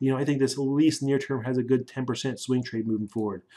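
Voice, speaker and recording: Pitched fairly high, a man talks with fairly even intonation. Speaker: stock market analyst. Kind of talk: tutorial. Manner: fast.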